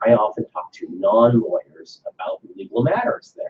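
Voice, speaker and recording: Someone with a Chinese accent talks at a moderate pace. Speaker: lawyer. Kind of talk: talk to students with Q&A.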